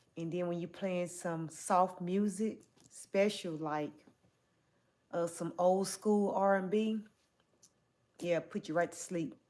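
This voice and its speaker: A woman with a Southern US accent speaks very slowly, with long, frequent pauses. Her pitch is fairly low, her tone dark and mellow, and her intonation fairly even. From US South. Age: 40s. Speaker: livestreamer. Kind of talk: livestream chat reading. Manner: casual.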